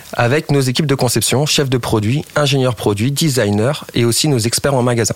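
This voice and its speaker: A man speaks at a moderate pace and medium pitch with ordinary pitch variation, over noticeable background noise. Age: 30s. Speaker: digital live-shopping project lead. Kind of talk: radio interview.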